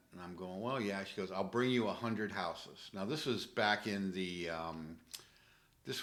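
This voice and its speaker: Audible room echo around a man's fairly low-pitched voice at a moderate pace. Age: 60s. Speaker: real estate investor. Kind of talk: casual interview. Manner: halting, many fillers.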